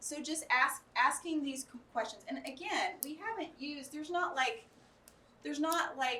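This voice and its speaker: A woman with an American accent projects a raised voice, her tone bright and sharp and her pitch swinging very widely. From Arkansas, US South. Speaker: educator, conference speaker. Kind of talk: workshop lecture with audience discussion. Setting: conference room with live audience.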